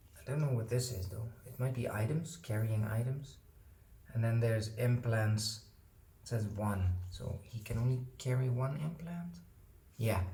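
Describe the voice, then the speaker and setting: With a non-native accent, a man talks at a fairly slow pace in a medium pitch. His pitch varies in an ordinary way, and audible room echo colors the sound. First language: not English. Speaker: board game unboxing youtuber. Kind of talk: casual unboxing commentary. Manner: hesitant with fillers.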